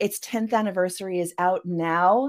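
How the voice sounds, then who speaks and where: In an unremarkable speaking voice, a woman talks at a fairly slow pace with a fairly low pitch and fairly even intonation, captured on a very clean recording with a silent background. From Canada. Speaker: science fiction author. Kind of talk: interview.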